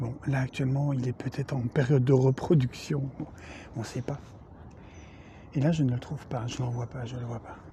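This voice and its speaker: A moderate pace broken by long, frequent pauses. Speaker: golf video creator. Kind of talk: comedic golf tutorial. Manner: soft-spoken, nature documentary parody.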